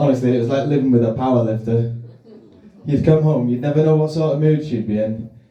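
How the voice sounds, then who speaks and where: Audible room echo surrounds a man talking at a fairly quick pace, his medium-pitched voice carrying fairly even intonation. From Wales. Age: 30s. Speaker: stand-up comedian. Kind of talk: stand-up. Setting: stage with audience.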